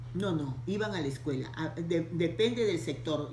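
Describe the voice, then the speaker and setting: A woman with a very deep, low pitch speaks at a moderate pace. Audible room echo and noticeable background noise fill the recording. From Peru, Lima. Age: 70s. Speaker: interviewee. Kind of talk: interview. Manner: halting.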